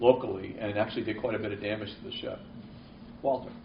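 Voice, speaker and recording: A man with a Boston accent talks at a very fast pace. Noticeable background noise and audible room echo surround his voice. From New England (Boston). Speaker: marine weather forecaster. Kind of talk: seminar Q&A. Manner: halting, many repeats.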